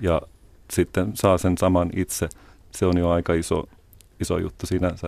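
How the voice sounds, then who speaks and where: A man's very deep, low voice, monotone and flat, at a moderate pace with long, frequent pauses, in a very clean recording with a silent background. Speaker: guest. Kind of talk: radio interview.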